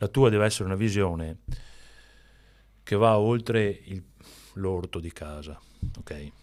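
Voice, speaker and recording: Pausing long and often, a man talks at a fairly slow pace with ordinary pitch variation. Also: fairly low pitch for a man, big swings in loudness. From Veneto, northeast Italy. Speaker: entrepreneur, company founder. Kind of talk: podcast interview. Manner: halting, many restarts.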